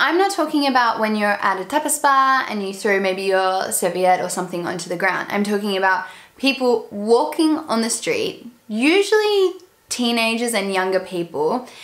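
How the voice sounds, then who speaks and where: A woman with an Australian accent speaks at a fairly high pitch with very wide pitch swings. Her pace is moderate, and there is noticeable background noise. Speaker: expat vlogger. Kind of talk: casual talk to camera.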